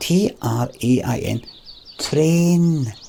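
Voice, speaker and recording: A man with a Scottish accent, set against noticeable background noise. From Scotland. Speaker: streamer. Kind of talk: rant. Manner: animated.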